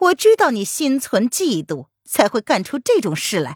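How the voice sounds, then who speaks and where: Someone puts on a character voice at a fairly high pitch and moderate pace, on a very clean recording with a silent background. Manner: stern, harsh.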